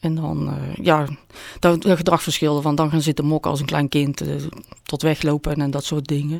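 Speaking at a moderate pace, a woman uses a very deep, low pitch and flat, monotone intonation. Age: 50s. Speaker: volunteer editor sharing her burn-out story. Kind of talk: personal interview.

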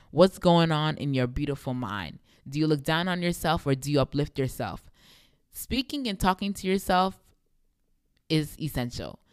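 A woman with a very deep, low pitch speaks at a moderate pace. Her intonation is lively, and she takes long, frequent pauses. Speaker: podcast host. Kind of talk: faith-based monologue.

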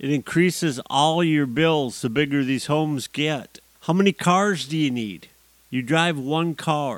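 A man with an American accent speaks in a normal speaking voice at a fairly high pitch, with ordinary pitch variation and a fairly slow pace, on a very clean recording with a silent background. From US. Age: 50s. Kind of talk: solo monologue podcast.

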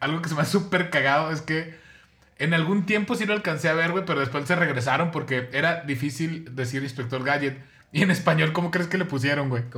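A bright, sharp voice moves at a fairly quick pace with ordinary pitch variation. Audible room echo surrounds it. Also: man, fairly high pitch for a man. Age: 40s. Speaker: podcast co-host. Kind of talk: casual chat.

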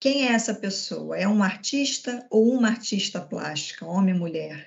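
A woman with a somewhat breathy, fairly high-pitched voice talks at a fairly slow pace, her pitch varying in an ordinary way. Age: 40s. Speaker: corporate events coordinator. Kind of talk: corporate webinar panel talk.

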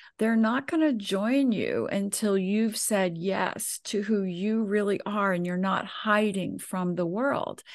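A woman speaks at a very slow pace with a fairly high pitch. Her intonation is fairly even over a quiet background. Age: 70s. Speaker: intuitive coach and numerologist. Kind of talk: casual chat.

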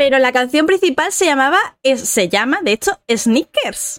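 In a dry, close sound with no echo, a woman with a high pitch talks at a fairly slow pace, her voice making very wide pitch swings. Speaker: podcast co-host. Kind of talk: casual chat.

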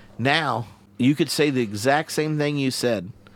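A man talks in a Southern US accent. His pitch varies in an ordinary way. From US South. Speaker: theologian and podcast host. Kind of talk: casual interview. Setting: in person studio in Glasgow.

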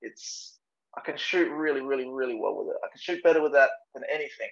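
Here a man talks with an Australian accent. His pace is moderate. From Adelaide, South Australia. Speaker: traditional archer. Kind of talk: casual interview.

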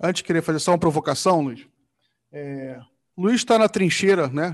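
A man with a high pitch talks at a moderate pace against a quiet background. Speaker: blog editor and show host. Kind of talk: casual political talk show. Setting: live video stream.

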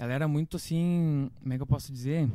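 In a very clean recording with a silent background, a man with a dark, mellow tone and fairly high pitch talks at a fairly quick pace with ordinary pitch variation. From Santa Catarina highlands, Brazil (Correia Pinto). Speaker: musician. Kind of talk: casual chat.

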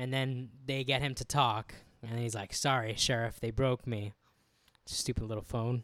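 At a moderate pace, a man speaks with an American accent at a medium pitch. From US, Cuban and Peruvian descent. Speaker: podcast co-host. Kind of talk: casual chat. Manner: animated.

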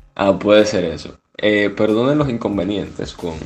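A man speaks at a very deep, low pitch with lively intonation. Noticeable background noise runs underneath. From Cuba. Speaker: podcast co-host, engineering student. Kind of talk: casual chat. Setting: video call.

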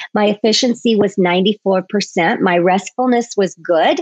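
A woman with a plain, everyday voice speaks at a medium pitch with ordinary pitch variation, the sound dry and close with no echo. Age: 50s. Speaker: podcast host, health coach. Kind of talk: solo podcast talk.

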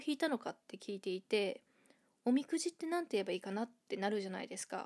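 Dark and mellow, a woman's voice comes through. The sound is close and dry, without any echo. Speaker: podcast host, English learner. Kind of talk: casual monologue.

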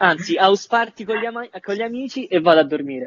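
A man at a moderate pace, his intonation lively. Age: 20s. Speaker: voice actor.

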